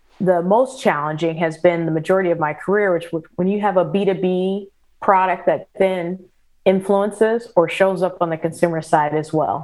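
With an American accent, a woman in a plain, everyday voice talks at a moderate pace and medium pitch, her intonation fairly even. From US Midwest, St. Louis area, Missouri. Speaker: business executive. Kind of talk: interview.

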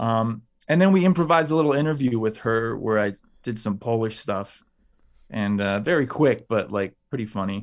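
A man speaks at a moderate pace in a Chicago accent, his pitch sitting in the middle range. His intonation is lively. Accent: Chicago American. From Chicago, US. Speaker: actor. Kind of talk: interview.

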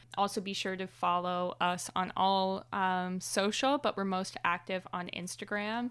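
An unremarkable speaking voice, a woman's, medium in pitch, fairly slow and fairly even in intonation, with hardly any pauses. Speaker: podcast host. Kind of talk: casual chat.

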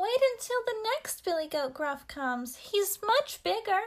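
A woman in a put-on character voice speaks at an extremely high pitch with very wide pitch swings. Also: moderate pace. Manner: pleading.

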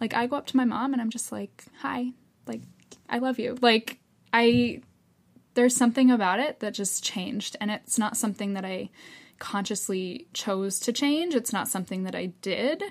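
In a very clean recording with a silent background, a woman talks at a moderate pace with a somewhat breathy sound and ordinary pitch variation. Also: fairly high pitch for a woman. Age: 20s. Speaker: yoga therapist. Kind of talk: casual interview.

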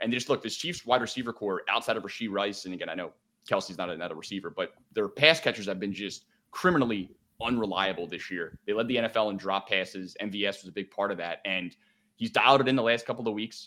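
A man with a fairly low pitch and a bright, sharp tone speaks very fast, his pitch varying in an ordinary way. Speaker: sports betting analyst. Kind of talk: casual chat. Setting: video call.

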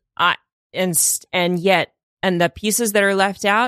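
A woman's tone is bright and sharp, and she speaks at a fairly slow pace. The sound is dry and close with no echo. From Russia. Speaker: comedian and improviser. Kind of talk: casual chat. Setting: studio.

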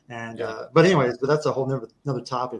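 A man speaking very fast in an American accent, fairly high-pitched and somewhat breathy, with ordinary pitch variation. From Kansas. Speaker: war veteran. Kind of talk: casual chat.

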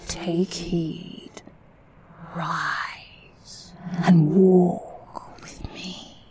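A put-on character voice sits at a middle pitch. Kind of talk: Victorian ghost-story drama. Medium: audio drama. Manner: solemn, measured, commanding.

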